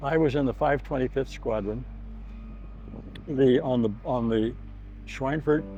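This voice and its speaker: With music in the background, a man at a medium pitch speaks at a fairly slow pace with fairly even intonation. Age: 80s+. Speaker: war veteran. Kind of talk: testimony. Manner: halting.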